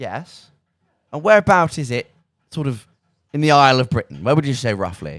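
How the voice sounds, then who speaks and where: With an English Midlands accent, a man speaks at a moderate pace in a fairly high pitch, with an animated tone and very wide pitch swings, leaving long, frequent pauses. The recording is very clean, with a silent background and a dry, close sound with no echo. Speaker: student radio presenter. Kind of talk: casual chat. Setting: radio studio.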